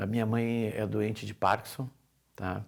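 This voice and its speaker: The recording is very clean, with a silent background. A man speaks at a medium pitch and moderate pace in a monotone, flat intonation. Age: 60s. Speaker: family caregiver. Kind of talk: testimony.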